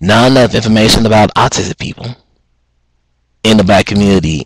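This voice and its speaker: A man talks at a moderate pace and fairly low pitch. His pitch varies in an ordinary way. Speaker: student. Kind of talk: casual talk to camera.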